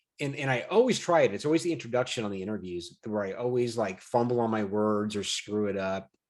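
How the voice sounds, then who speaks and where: Talking at a very fast pace with hardly any pauses, a man keeps a medium pitch. His pitch variation is ordinary. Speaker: podcast host; jiu-jitsu hobbyist. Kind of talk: casual chat.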